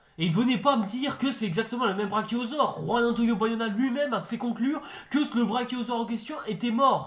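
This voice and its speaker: A man's extremely high voice, animated and fairly quick, with ordinary pitch variation over noticeable background noise. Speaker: YouTube film and series reviewer. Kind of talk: video review commentary. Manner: fast; animated, exasperated.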